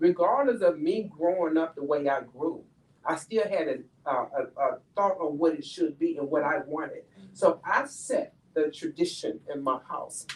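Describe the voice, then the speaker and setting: A woman speaks in an American accent at a fairly slow pace. Her pitch swings very widely. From Chicago, US Midwest. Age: 60s. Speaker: educator. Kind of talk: panel discussion. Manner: animated.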